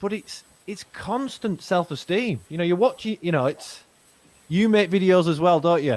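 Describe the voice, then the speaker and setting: Lively intonation marks this voice with a Manchester accent. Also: man, high pitch for a man, moderate pace. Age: 40s. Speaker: podcast host. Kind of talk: casual chat.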